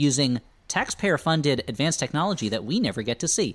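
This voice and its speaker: On a very clean recording with a silent background, a man with a fairly high pitch speaks at a moderate pace in an animated tone with lively intonation. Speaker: comedy podcast co-host. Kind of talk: casual chat. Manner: animated, joking.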